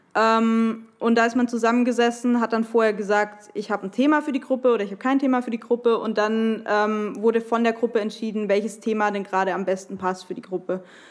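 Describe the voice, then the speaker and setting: A woman's fairly high voice, very fast and with hardly any pauses, fairly even in intonation, amid noticeable background noise. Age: 20s. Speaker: podcast guest, listener. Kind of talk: personal testimony.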